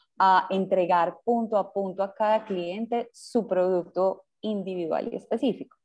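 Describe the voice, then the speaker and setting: A woman with an unremarkable speaking voice talks at a medium pitch and a fairly slow pace. Her intonation is fairly even and she leaves hardly any pauses. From Colombia, Medellín. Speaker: startup founder. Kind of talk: interview.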